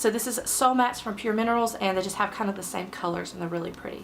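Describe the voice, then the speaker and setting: Clear background noise can be heard as this woman talks. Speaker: beauty vlogger. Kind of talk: makeup tutorial talk to camera.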